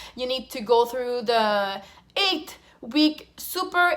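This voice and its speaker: A woman's high-pitched voice with lively intonation and a French accent. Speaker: flight attendant. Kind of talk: casual Q&A vlog.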